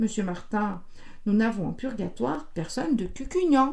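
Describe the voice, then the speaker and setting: Over noticeable background noise, a woman uses a hoarse, put-on character voice with a fairly high pitch at a moderate pace. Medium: read story. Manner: solemn, sighing.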